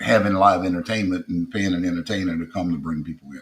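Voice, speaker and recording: With a strong South Louisiana accent, a man speaks at a fairly low pitch with fairly even intonation. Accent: heavy Creole South Louisiana. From South Louisiana (Acadiana), Creole. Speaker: comedian. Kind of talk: interview conversation.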